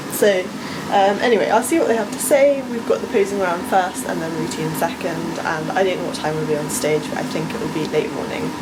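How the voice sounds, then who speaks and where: A woman with an English accent talks at a fairly quick pace amid noticeable background noise and audible room echo. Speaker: vlogger and bodybuilding competitor. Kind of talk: vlog. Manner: loud; animated.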